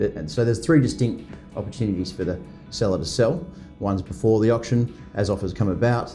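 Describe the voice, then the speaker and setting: A man with a fairly low pitch speaks at a very fast pace with lively intonation, music playing in the background. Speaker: real estate auctioneer. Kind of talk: interview answer. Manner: conversational, fluent, with hesitations.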